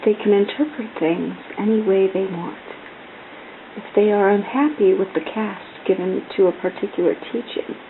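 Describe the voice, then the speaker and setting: A soft-spoken woman talks at a fairly slow pace with lively intonation. Noticeable background noise sits behind her. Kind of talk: soft-spoken ASMR book reading. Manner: soft-spoken, calm, relaxed.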